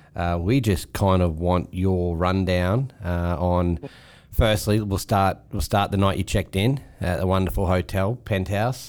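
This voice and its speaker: A man with an Australian accent speaks fairly slowly in a very deep, low voice with ordinary pitch variation. The recording is very clean, with a silent background. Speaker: podcast host. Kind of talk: casual banter.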